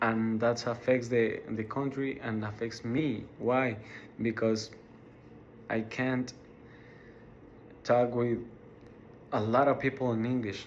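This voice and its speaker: With a Mexican accent, a man speaks very slowly in a monotone, flat way, leaving long, frequent pauses. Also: medium pitch for a man. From Mexico, Ciudad Juarez. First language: Spanish. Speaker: college student. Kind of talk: class speech. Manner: halting, many repetitions and fillers.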